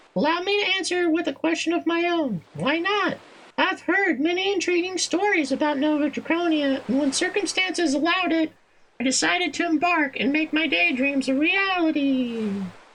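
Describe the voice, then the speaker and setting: In a put-on character voice, the speaker squeaks softly at a high pitch with a sing-song lilt. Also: moderate pace. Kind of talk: performer voicing game dialogue. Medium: game stream. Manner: winsome, coquettish.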